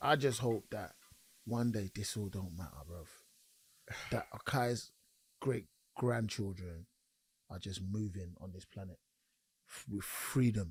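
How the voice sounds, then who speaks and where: A man with an East London accent speaks at a fairly slow pace and fairly low pitch, somewhat breathy, with ordinary pitch variation, big swings in loudness and long, frequent pauses. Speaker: podcast co-host. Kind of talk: casual chat.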